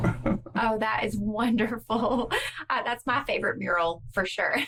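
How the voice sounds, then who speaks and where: Against noticeable background noise, a woman speaks at a fairly slow pace with very even loudness. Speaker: podcast host. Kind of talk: interview questions.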